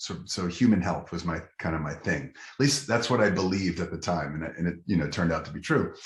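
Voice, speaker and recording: A man talks at a fairly quick pace with lively intonation and an American accent. His voice is somewhat breathy. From Los Angeles, Southern California. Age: 50s. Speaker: physician and nutrition leader. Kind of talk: interview.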